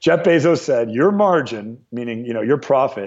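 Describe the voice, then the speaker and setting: Lively in intonation, a man with an American accent talks at a fairly quick pace. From US West Coast, Ventura County near Los Angeles. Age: 30s. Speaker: entrepreneur and author. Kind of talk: interview.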